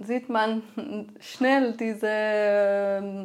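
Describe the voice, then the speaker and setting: A woman with a Persian accent, fairly high in pitch and monotone and flat, in a very clean recording with a silent background. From Iran. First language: Persian (speaking German). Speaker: filmmaker and activist. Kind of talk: interview. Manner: hesitant, frequent fillers.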